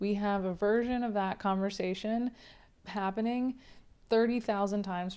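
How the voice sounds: This is a natural reading voice.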